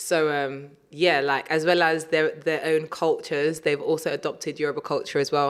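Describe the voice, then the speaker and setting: A woman with a strong British accent and a very deep, low pitch, hardly any pauses and very even loudness, in a very clean recording over a silent background. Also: moderate pace. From South East London. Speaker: DJ and radio presenter. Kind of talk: casual interview chat. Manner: animated, uses many fillers.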